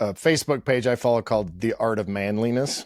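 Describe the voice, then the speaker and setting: Dry and close with no echo, the speech comes at a fairly quick pace with an American accent and ordinary pitch variation. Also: man. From Pittsburgh, US. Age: 50s. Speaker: podcast host. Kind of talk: interview conversation. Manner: loud.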